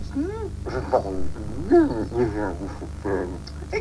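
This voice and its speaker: A put-on character voice speaks at a very slow pace. Loud background noise runs underneath. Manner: mouth full, muffled and hard to understand.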